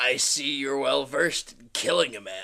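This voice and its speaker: A man puts on a raspy character voice at medium pitch. He speaks at a moderate pace. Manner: menacing, theatrical.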